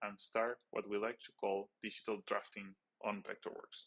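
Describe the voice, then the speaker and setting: A man speaks with a non-native accent in a dry, close sound with no echo. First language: not English. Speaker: stage and lighting designer. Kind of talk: webinar presentation. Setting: webinar.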